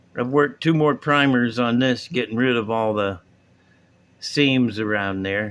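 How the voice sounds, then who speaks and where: Talking at a moderate pace, a man has a plain, everyday voice, a medium pitch, and ordinary pitch variation. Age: 60s. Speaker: hobbyist video host. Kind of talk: casual tutorial. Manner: relaxed, rambling.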